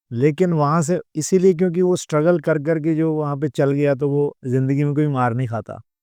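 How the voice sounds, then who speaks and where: The sound is dry and close with no echo and a quiet background, carrying a dark, mellow tone at a moderate pace with ordinary pitch variation. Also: man. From Punjab, Ludhiana. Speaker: comedian and mimicry artist. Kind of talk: podcast interview.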